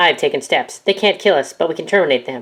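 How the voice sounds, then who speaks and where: In a put-on character voice, the speaker races along at a very fast pace. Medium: machinima. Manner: calm, polite, deferential, says sir often.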